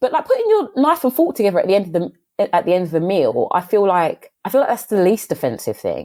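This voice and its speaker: With an English accent, a woman speaks at a very fast pace and very even loudness. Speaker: podcast guest. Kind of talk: casual chat.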